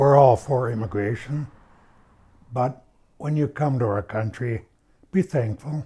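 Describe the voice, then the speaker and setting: A man with an Upper Midwest accent speaks in a dark, mellow tone that is somewhat breathy, at a medium pitch with ordinary pitch variation. His pace is fairly slow, and the recording is very clean with a silent background. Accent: Upper Midwest American. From Minnesota, US Midwest. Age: 70s. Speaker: local resident. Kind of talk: documentary interview.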